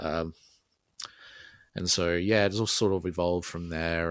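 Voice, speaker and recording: With an Australian accent, a man speaks in a very deep, low pitch and monotone, flat intonation, the sound dry and close with no echo on a very clean recording with a silent background. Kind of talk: casual interview chat. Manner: hesitant, many fillers.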